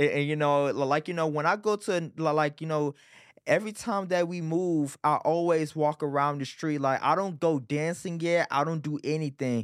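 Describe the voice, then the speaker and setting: Speaking with an American accent, a man uses a fairly high pitch and an animated tone at a moderate pace on a very clean recording with a silent background. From Texas, Arlington area. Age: 20s. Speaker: street dancer and promoter. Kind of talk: casual interview.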